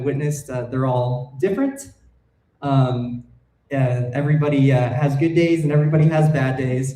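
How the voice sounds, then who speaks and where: A man's somewhat breathy, fairly high voice at a moderate pace, monotone and flat, with audible room echo. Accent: American. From Colorado, US. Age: 20s. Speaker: wildlife filmmaker. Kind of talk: public talk. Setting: stage with audience. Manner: hesitant, many fillers.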